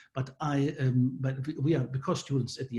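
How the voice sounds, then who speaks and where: Here a man speaks with a German accent at medium pitch. His tone is dark and mellow, and somewhat breathy. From Germany. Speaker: professor. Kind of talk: presentation. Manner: halting, many fillers.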